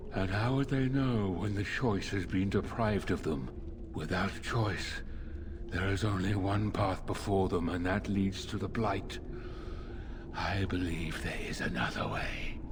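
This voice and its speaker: Using a put-on character voice, a man speaks at a fairly low pitch and a moderate pace over loud background noise. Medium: video game. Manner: measured, formal, calm.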